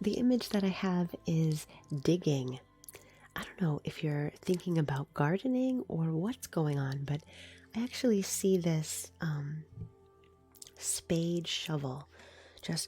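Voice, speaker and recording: Music plays in the background as the speaker goes at a very slow pace with long, frequent pauses. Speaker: reiki practitioner and live streamer. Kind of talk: live-stream reiki session, casual talk to viewers.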